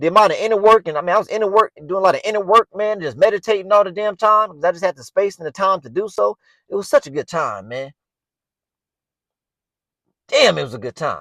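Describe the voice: The man talks at a fairly quick pace in a high pitch, with a bright, sharp tone and a dry, close sound with no echo. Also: lively intonation.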